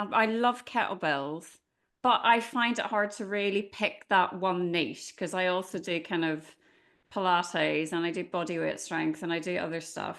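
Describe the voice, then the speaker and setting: An Irish accent in a woman's medium-pitched voice, moderate pace, ordinary pitch variation, and a quiet background. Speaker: podcast host. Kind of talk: casual interview chat; reading aloud a bio.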